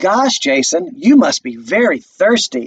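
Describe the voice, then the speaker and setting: A man uses a put-on character voice at an extremely high pitch. He talks at a fairly slow pace. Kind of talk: slow, simple, sing-song. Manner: sarcastic.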